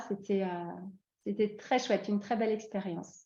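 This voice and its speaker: A woman speaks with a fairly high pitch and a dark, mellow, somewhat breathy tone. Her intonation is monotone and flat, over a quiet background. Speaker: expatriate interviewee. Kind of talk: podcast interview. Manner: hesitant, many fillers.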